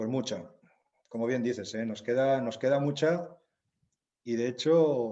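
A man with a medium pitch speaks with ordinary pitch variation. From Zaragoza, Aragon, Spain. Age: 50s. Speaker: novelist and humanitarian worker. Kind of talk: interview.

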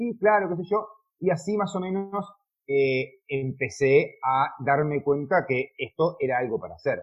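Lively intonation at a fairly slow pace. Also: man, high pitch for a man. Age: 40s. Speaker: car detailer and YouTuber. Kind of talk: interview. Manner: halting.

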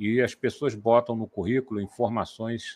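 With an ordinary speaking voice and a medium pitch, a man talks at a moderate pace, the sound dry and close with no echo against a quiet background. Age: 60s. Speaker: software developer, co-host. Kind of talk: casual chat. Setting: live stream.

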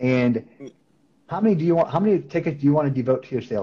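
Somewhat breathy, a man speaks with an American accent. His pace is very fast. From Wisconsin, US Upper Midwest (Beaver Dam). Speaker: sales team manager. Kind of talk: casual interview.

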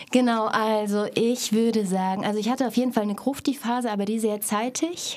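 Fairly quick and fairly even in intonation, a woman speaks at a fairly high pitch amid noticeable background noise. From Thuringia, Stadtroda. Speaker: actress and theatre educator. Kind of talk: casual chat.

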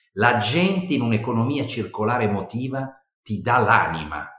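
At a moderate pace, a man with medium pitch speaks with very wide pitch swings. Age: 60s. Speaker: HR director. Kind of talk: interview.

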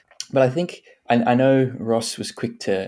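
A man with an Australian accent. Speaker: podcast host. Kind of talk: casual chat.

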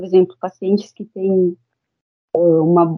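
Her intonation stays monotone and flat. The woman talks at a fairly slow pace. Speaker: dentist. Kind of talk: interview. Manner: halting.

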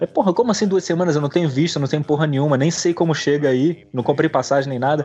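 Speaking very fast, a man has a dark, mellow tone and ordinary pitch variation. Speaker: podcast guest. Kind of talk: casual chat.

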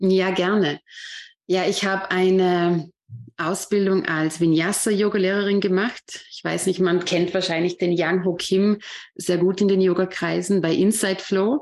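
In a very clean recording with a silent background, a woman speaks in a plain, everyday voice at medium pitch. Her pace is fairly slow and her intonation fairly even. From Austria, Vorarlberg. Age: 30s. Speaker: yoga teacher. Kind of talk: interview.

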